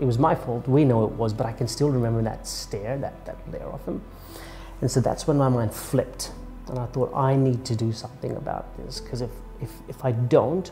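With faint background music, a man talks at a moderate pace. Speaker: public speaking coach. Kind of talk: interview answer. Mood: reflective, candid. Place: office.

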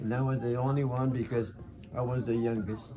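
A man speaks with noticeable background noise. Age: 80s+. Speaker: great-grandfather. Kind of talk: casual family talk, giving advice to a child. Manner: warm, grandfatherly. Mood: warm, nostalgic. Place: home room. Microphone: phone near.

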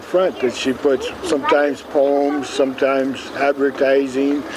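A man with an American accent talks at a fairly slow pace. Noticeable background noise is present. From Seattle, Washington. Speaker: street newspaper vendor. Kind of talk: interview answer. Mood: warm, a bit wistful. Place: street.

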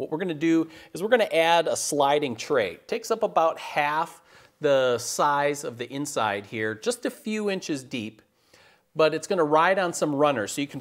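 The background is quiet. A man speaks at a moderate pace. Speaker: woodworking show host. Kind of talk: tutorial. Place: workshop. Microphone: lapel.

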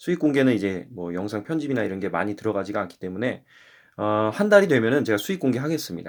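On a very clean recording with a silent background, a man talks very fast at a medium pitch with lively intonation. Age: 20s. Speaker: YouTuber. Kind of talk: casual vlog monologue. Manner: rambling, filler-heavy.

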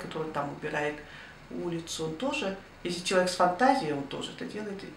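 Light background noise and audible room echo accompany a woman whose fairly low pitch shows ordinary variation. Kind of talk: interview answer. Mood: reflective, warm. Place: home room. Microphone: camera far.

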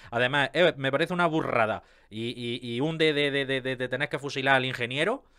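The voice has an animated tone and a fairly quick pace. The background is quiet. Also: man. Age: 30s. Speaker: YouTuber on car maintenance. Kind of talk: casual video commentary. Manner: halting, with many fillers and repetitions. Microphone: studio mic.

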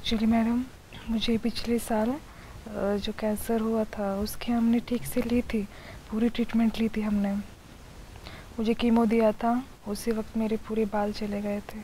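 Speech comes at a fairly slow pace with long, frequent pauses, set against light background noise in a dry sound with no echo. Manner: lying-down, weak patient voice.

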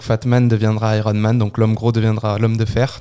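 Fairly quick in pace, a man speaks at a fairly low pitch in a dark, mellow tone. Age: 20s. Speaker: triathlete and anti-bullying speaker. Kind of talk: interview testimony.

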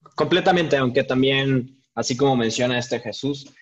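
A man's voice at a moderate pace, with ordinary pitch variation and a quiet background. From Mexico City. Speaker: craft brewer; panelist. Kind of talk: panel discussion. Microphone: video call.

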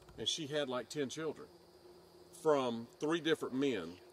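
A man speaks at a fairly slow pace. His pitch is medium, with ordinary variation.

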